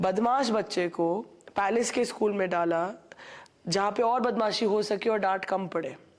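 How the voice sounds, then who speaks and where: A normal speaking voice from a woman, medium-pitched with ordinary pitch variation and very even loudness. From India, Rajasthan (Udaipur). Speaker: finance advisor. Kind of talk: podcast interview. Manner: code-switching Hindi and English with fillers.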